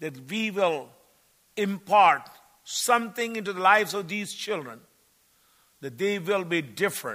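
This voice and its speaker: Raised and projected, a man's high-pitched voice carries a bright, sharp tone and lively intonation at a fairly slow pace. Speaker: visiting preacher and missionary. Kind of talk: sermon. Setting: church service.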